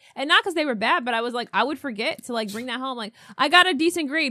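A woman speaks very fast in a high, raised and projected voice with an American accent, her tone bright and sharp. Her pitch varies in an ordinary way, and the recording is very clean with a silent background. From US, upstate New York (518 area). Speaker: podcast co-host. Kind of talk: casual chat. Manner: laughs often.

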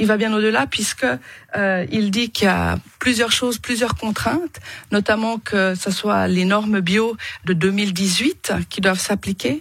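A somewhat breathy woman's voice at medium pitch, very slow in pace, with very even loudness and ordinary pitch variation. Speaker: politician and poultry farmer. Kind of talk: radio interview debate. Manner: hesitant with fillers and repetitions.

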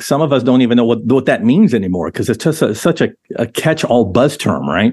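With an American accent and a plain, everyday voice, a man talks at a fairly quick pace, his medium pitch showing ordinary variation. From Southern California. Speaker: podcast host. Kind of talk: interview, conversational.

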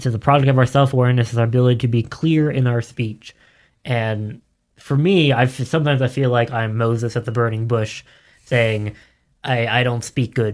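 In a very clean recording with a silent background, a man with a normal speaking voice talks at a fairly quick pace, medium in pitch with fairly even intonation. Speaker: podcast producer. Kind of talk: panel discussion. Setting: studio.

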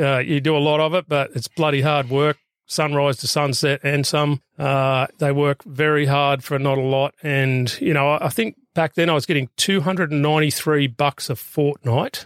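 A man with an Australian accent, fairly high-pitched, at a moderate pace with hardly any pauses, very even loudness and fairly even intonation, in a dry, close sound with no echo on a very clean recording against a silent background. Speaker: former police rescue officer and firefighter. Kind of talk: casual interview. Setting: in a van. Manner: halting.

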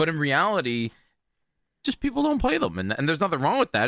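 A man races along at a very fast pace with a bright, sharp tone, vocal fry and very wide pitch swings. The sound is dry and close with no echo, on a very clean recording with a silent background. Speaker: video game streamer. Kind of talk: casual chat. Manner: loud; animated.

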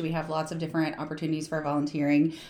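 A woman with an American accent is heard through audible room echo. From US South, southern West Virginia. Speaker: nonprofit founder. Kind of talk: interview.

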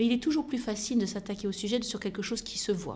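A woman speaks at a fairly high pitch, somewhat breathy. Her tone is dark and mellow. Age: 50s. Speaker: aviation company executive. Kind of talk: interview.

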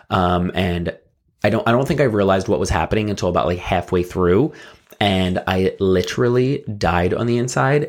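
At a moderate pace, a man with an American accent speaks at a fairly low pitch. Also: ordinary pitch variation. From South Jersey. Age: 30s. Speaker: podcast co-host. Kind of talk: casual chat.

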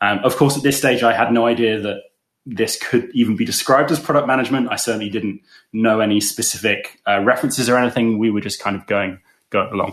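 Over a quiet background, a man talks at a very fast pace with an English accent and fairly even intonation. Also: medium pitch for a man. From England. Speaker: product coach. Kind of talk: casual interview chat.

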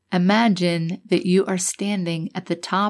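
Very slowly, a woman speaks at a medium pitch in a calm tone. The recording is very clean, with a silent background. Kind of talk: guided meditation. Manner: slow, calm.

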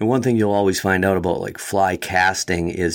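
Speaking with an Upper Midwest accent, a man has a very deep, low pitch. He keeps a moderate pace and ordinary pitch variation. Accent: Upper Midwest American. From Wisconsin, US Midwest. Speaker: fly fishing guide and shop owner. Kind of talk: casual interview.

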